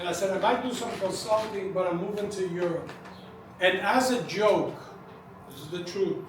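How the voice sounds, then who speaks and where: This man speaks at a moderate pace with a high pitch. Noticeable background noise and audible room echo come through. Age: 70s. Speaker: cigar industry veteran. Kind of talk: speech to event audience.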